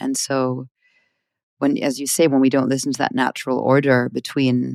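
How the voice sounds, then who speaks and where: Very clean recording, silent background, and a woman's voice. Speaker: podcast host. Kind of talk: interview question.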